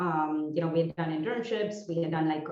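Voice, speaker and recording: A woman's fairly low voice in an Indian accent, with ordinary pitch variation and audible room echo. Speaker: entrepreneur. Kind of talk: presentation talk. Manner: hesitant, many fillers.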